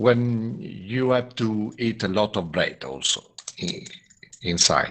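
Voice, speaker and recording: The voice is a man's. He speaks with an Italian accent. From Italy. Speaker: jazz musician. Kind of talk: interview. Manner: halting.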